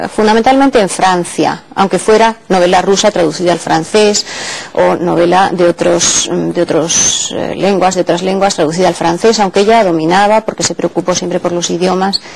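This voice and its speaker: Here a woman speaks with a fairly low pitch at a moderate pace. Noticeable background noise runs underneath. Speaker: literature professor. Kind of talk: interview answer.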